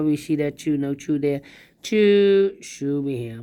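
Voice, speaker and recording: A woman talks with lively intonation and a very deep, low pitch, her tone dark and mellow. The recording is very clean, with a silent background. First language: not English. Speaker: sudoku instructor. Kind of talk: puzzle solving tutorial.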